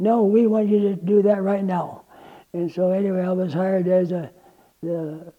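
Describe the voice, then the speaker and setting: A man with an American accent and a high pitch talks at a moderate pace in a dark, mellow tone, his intonation fairly even. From Iowa. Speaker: tradesman. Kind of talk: oral history interview. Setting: museum. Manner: halting.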